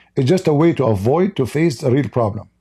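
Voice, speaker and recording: A man with an Arabic accent speaks at a fairly high pitch with very wide pitch swings, a dark, mellow tone and a somewhat breathy quality, in a very clean recording with a silent background. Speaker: religious commentator. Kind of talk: live stream commentary.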